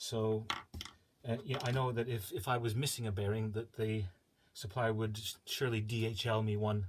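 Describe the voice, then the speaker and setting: A man talks at a moderate pace and medium pitch. His voice is somewhat breathy. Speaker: DIY hobbyist building a CNC machine. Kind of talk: casual tutorial. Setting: small home workshop. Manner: halting.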